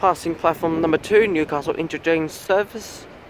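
There is faint background noise as a man speaks at a moderate pace. His pitch is fairly high, with ordinary pitch variation.

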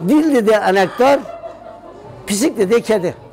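Very slow speech in a Gaziantep accent, very wide pitch swings, faint music in the background. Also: man. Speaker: local storyteller. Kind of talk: telling a dialect riddle then explaining it. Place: shop. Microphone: lapel.

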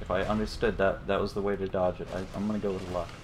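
Over background music, a fairly low-pitched man's voice going very fast in a monotone, flat delivery. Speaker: gaming streamer. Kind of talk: let's play commentary. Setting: livestream with friends on voice chat. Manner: casual, swears freely.

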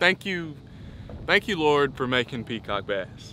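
A man talks at a moderate pace with lively intonation. His tone is bright and sharp.

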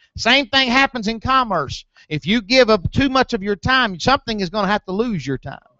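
A man with a high pitch speaks at a fairly quick pace with lively intonation. The sound is dry with no echo, over a quiet background. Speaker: preacher. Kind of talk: sermon. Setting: church. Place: church.

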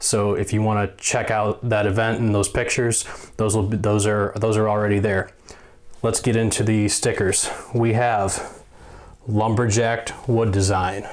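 This man talks at a fairly slow pace in a fairly low voice, with little movement in pitch.

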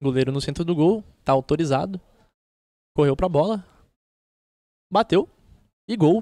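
A man's high voice with a dark, mellow tone and a Brazilian accent, ordinary pitch variation, long, frequent pauses, and a dry, close sound with no echo. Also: moderate pace. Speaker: football play-by-play announcer. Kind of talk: live commentary.

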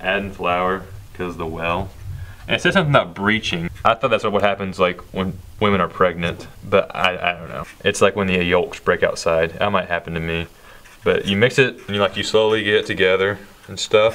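A man talks at a fairly quick pace with a bright, sharp tone. His pitch is fairly low and his intonation fairly even. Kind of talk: casual cooking commentary. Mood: joking, unsure. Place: kitchen.

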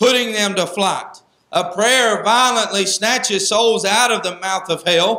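His voice is raised and projected, pitched high. The man is heard with audible room echo. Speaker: Sunday school teacher, preacher. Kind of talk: Sunday school Bible lesson in a preaching style, with repeated 'amen' calls. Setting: church. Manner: earnest and exhortative, conversational, with filler 'uh' and frequent 'amen'. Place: church. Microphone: handheld.

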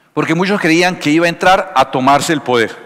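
A man talks at a fairly quick pace. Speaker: pastor preaching. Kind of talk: sermon. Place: church. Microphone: headset.

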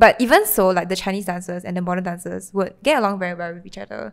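A woman speaks with a Singaporean accent and fairly even intonation. The background is quiet. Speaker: podcast co-host. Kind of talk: casual chat. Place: home room. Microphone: handheld.

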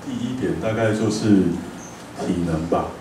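Amid noticeable background noise and audible room echo, a man talks with fairly low pitch and ordinary pitch variation. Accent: Taiwanese. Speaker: cafe owner. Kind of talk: lecture talk, conversational. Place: hall.

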